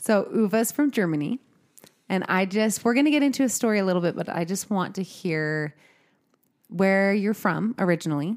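A woman's medium-pitched voice, an unremarkable speaking voice with lively intonation, on a very clean recording with a silent background. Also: moderate pace. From Utah. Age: 30s.

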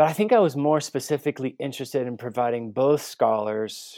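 An unremarkable speaking voice with an American accent, ordinary pitch variation and a moderate pace on a very clean recording with a silent background. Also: man. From Guatemala City, raised as missionary kid, later US. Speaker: theology professor and author. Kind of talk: interview.

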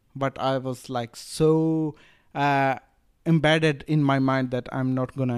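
A man with an Indian accent, fairly high-pitched, flat and monotone, at a fairly slow pace, on a very clean recording with a silent background. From Rajasthan, India. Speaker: drop shipping entrepreneur. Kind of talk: casual interview. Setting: Bali retreat. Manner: halting, with many fillers.

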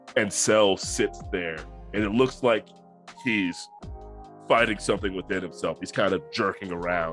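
A man with a fairly low pitch, lively intonation and a moderate pace, long, frequent pauses, and music in the background. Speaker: game master narrating a tabletop roleplaying game.

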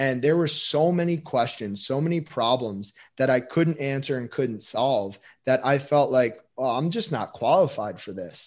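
An unremarkable speaking voice from a man, lively in intonation, at a moderate pace over a quiet background. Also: medium pitch for a man. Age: 20s. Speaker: physical therapist and performance coach. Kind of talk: interview conversation.

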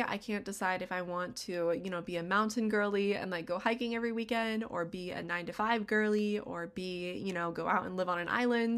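An unremarkable speaking voice with an American accent and ordinary pitch variation, on a very clean recording with a silent background. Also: woman. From US West, Las Vegas, Nevada. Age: 20s. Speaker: podcast host. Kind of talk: casual solo monologue.

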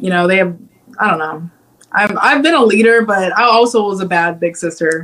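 Using ordinary pitch variation, a woman with a Midwestern American accent talks at a moderate pace and medium pitch. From Ohio, Cincinnati. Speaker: singer-songwriter. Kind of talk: interview. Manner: hesitant, many fillers.

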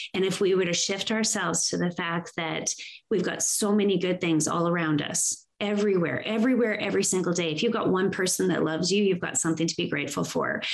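A woman at a very fast pace and medium pitch, hardly any pauses, very even loudness, with noticeable background noise. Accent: Canadian Prairie. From Saskatchewan, Canada (farm). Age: 50s. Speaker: inspirational speaker and women's coach. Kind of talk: interview conversation. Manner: animated.

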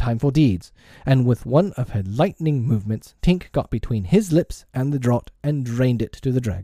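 The speaker reads in an unforced voice, and the intonation rises and falls in a lively way.

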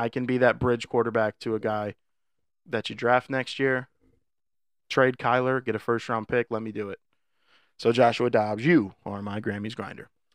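Animated in tone, a man with a medium pitch speaks at a moderate pace with long, frequent pauses. The sound is dry and close with no echo, over a quiet background. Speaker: podcast co-host. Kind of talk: casual banter. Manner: joking, animated.

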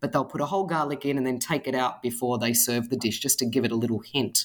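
A woman speaks with an Australian accent. Her pitch is very deep and low. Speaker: author and food blogger. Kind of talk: casual interview chat.

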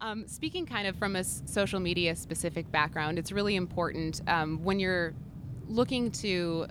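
A woman speaks at a moderate pace in a normal speaking voice. Her pitch is fairly low. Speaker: social media strategist. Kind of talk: trade show interview. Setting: trade show floor.

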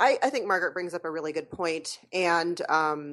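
Against a quiet background, a woman with an unremarkable speaking voice talks at a moderate pace and a fairly low pitch. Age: 40s. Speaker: podcaster. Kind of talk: casual chat. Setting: remote call with headset.

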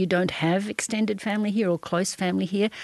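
At a moderate pace, a woman speaks in an Australian accent. Her medium pitch shows ordinary pitch variation. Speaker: journalist and podcast facilitator. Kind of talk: interview. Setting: studio.

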